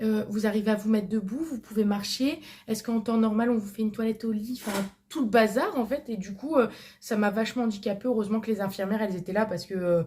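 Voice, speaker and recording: The speaker is a woman with a fairly high pitch and ordinary pitch variation. She talks very fast. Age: 20s. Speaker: vlogger. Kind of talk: casual chat. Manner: hesitant, many fillers.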